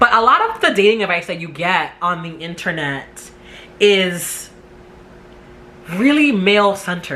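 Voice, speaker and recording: A woman with an American accent speaks fairly slowly at medium pitch, with lively intonation and long, frequent pauses. Noticeable background noise can be heard. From New York City. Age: 30s. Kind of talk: casual talk to camera. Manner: talkative.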